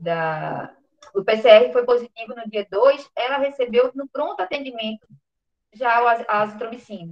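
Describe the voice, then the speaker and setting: A normal speaking voice from a woman, fairly high in pitch with ordinary pitch variation, at a moderate pace with big swings in loudness. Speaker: physician presenting a case. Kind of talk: clinical case presentation.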